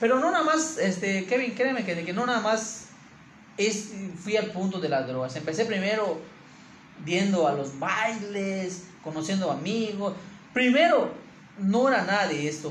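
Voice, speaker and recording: Over noticeable background noise and audible room echo, a man with a high pitch and lively intonation talks with long, frequent pauses. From Mexico, Campeche. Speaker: church leader. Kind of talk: interview, personal testimony. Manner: halting, many repetitions.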